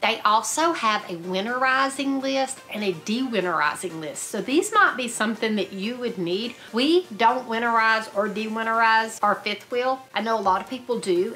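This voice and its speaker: A woman at a moderate pace with lively intonation and light background noise. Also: hardly any pauses. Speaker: RV travel vlogger. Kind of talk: casual vlog chat. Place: home room.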